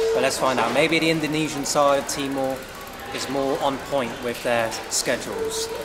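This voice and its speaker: Clear music plays in the background while a man speaks with ordinary pitch variation. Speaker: travel vlogger. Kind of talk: casual vlog chat. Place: station. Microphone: phone near.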